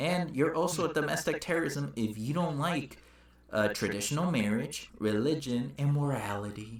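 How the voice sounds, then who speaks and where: Lively intonation and very even loudness come at a moderate pace, with audible room echo. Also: man, fairly high pitch for a man. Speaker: political podcast co-host. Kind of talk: casual chat. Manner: halting, stumbles over words.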